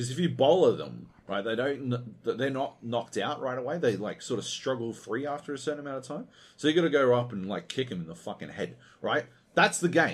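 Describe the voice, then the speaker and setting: The voice moves at a fairly quick pace with vocal fry and lively intonation. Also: man, medium pitch for a man. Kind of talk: angry rant. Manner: animated, sweary, sarcastic and exasperated; fast, scornful, mocking delivery.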